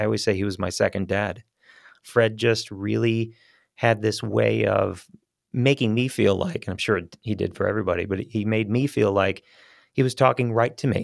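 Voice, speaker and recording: A man's fairly low voice at a moderate pace, with fairly even intonation, on a very clean recording with a silent background. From Boston, moved away young. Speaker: voiceover artist and instructor. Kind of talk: interview.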